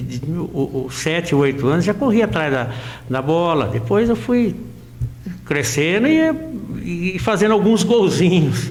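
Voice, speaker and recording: Noticeable background noise and audible room echo surround a man speaking at a fairly slow pace. His pitch is high, with very wide swings. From Brazil, interior of São Paulo state (Santa Cruz region). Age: 60s. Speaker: amateur footballer and local sports reporter. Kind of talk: interview. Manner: halting.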